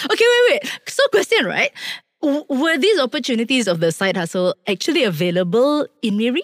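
In a Malaysian accent, a woman speaks at a fairly quick pace with a high pitch and very wide pitch swings. Her loudness stays very even, and the sound is dry and close with no echo. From Malacca, moved to Kuala Lumpur at ten. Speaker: podcast co-host. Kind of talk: casual chat, Manglish.

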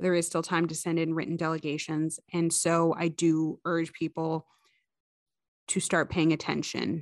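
At a moderate pace, a woman with a fairly low pitch talks in a flat monotone, captured in a very clean recording with a silent background. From Ottawa, Canada. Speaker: podcast host. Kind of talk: podcast intro and interview.

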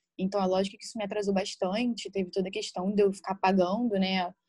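The recording is very clean, with a silent background. A woman speaks in a somewhat breathy voice. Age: 20s. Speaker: nail bar owner. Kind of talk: casual interview chat.

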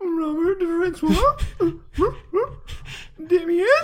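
An extremely high-pitched put-on character voice. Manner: easy, excited.

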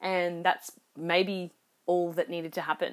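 Speaking at a moderate pace and medium pitch, a woman has an unremarkable speaking voice. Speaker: podcast host. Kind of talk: solo reflective monologue.

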